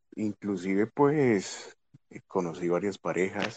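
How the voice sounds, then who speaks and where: The speech comes at a very slow pace. The sound is dry and close with no echo, over a quiet background. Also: man. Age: 20s. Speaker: co-host, former soldier. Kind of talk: casual live chat.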